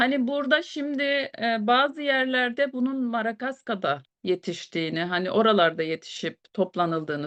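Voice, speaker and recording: Against a quiet background, a woman talks at a fairly slow pace. Her fairly high voice makes very wide pitch swings. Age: 40s. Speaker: beautician and product presenter. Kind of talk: product presentation. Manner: hesitant with fillers.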